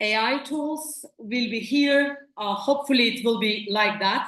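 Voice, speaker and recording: A woman with a Turkish accent, fairly high in pitch, at a fairly slow pace with ordinary pitch variation. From Turkey. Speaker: company representative at academic conference. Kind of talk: conference presentation.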